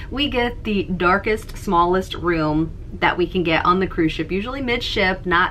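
A woman's fairly quick speech with lively intonation, light background noise behind it. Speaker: beauty vlogger. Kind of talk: casual vlog chat. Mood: cheerful, laughing often. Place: home room.

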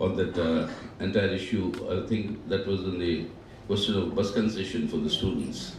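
With audible room echo and light background noise, a man speaks at a moderate pace. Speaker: guest lecturer. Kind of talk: lecture. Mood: reminiscent, warm. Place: hall. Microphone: podium.

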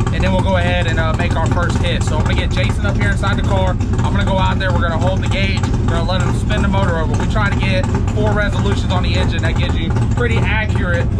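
Loud background noise fills the clip. A man talks at a very fast pace. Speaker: drag racer vlogger. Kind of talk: casual vlog chat. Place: street. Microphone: phone near.

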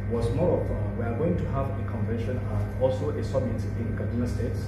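Over music in the background and audible room echo, a man talks at a fairly quick pace. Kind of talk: formal address at meeting. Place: meeting room.

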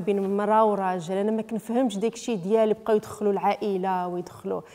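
A woman's unremarkable speaking voice, fairly high in pitch, fairly quick and fairly even in intonation, with hardly any pauses. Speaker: footballer's wife; interviewee. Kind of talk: interview. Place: home room. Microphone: handheld.

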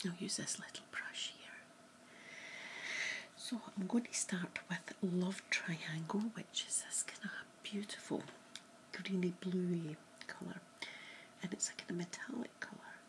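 At a fairly slow pace, a woman is whispering. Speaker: makeup vlogger. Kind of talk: makeup tutorial, role-play style. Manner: soft, hushed ASMR voice. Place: home room. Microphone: webcam.

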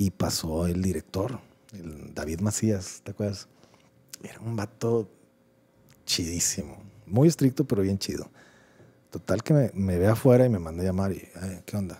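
Somewhat breathy and fairly low in pitch, a man with a dark, mellow tone speaks with ordinary pitch variation, big swings in loudness and long, frequent pauses. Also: moderate pace. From Mexico. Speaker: podcast co-host. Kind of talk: casual chat. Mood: relaxed, joking, slangy. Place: studio. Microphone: studio mic.

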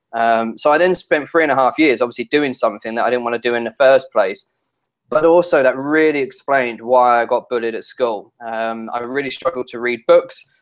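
Against a quiet background, a man keeps a fairly quick pace with ordinary pitch variation. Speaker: interview guest. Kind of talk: interview answer. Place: home room. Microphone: earbuds.

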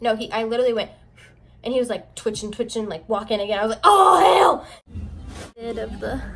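A woman talks fairly quickly, her pitch varying in an ordinary way. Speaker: YouTuber. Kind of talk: casual vlog chat. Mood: animated storytelling. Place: home room. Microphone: phone near.

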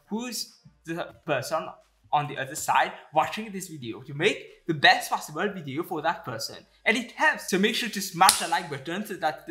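Music is clearly heard behind the speech. A man delivers his words at a moderate pace. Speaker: investing YouTuber. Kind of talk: educational commentary to camera. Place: home room.

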